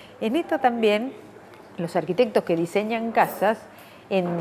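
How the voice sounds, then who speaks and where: This woman's fairly high voice moves in very wide pitch swings. Noticeable background noise runs behind her. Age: 60s. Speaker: anthropologist. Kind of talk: interview.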